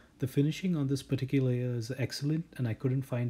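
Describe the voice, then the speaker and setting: A somewhat breathy man's voice with a dark, mellow tone, on a very clean recording with a silent background. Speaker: watch reviewer. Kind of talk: product review. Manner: flat, unenthusiastic.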